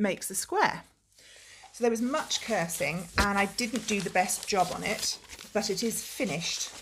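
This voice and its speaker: A woman's somewhat breathy voice moves along at a moderate speed. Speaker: knitting video podcaster. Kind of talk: casual vlog chat. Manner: hesitant with frequent ums. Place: home room. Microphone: phone near.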